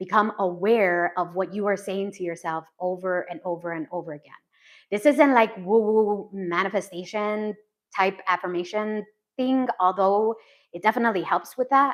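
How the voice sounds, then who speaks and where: In a very clean recording with a silent background, a woman speaks at a medium pitch and a moderate pace, with ordinary pitch variation and big swings in loudness. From Texas. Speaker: life coach. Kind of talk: live stream talk. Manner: casual.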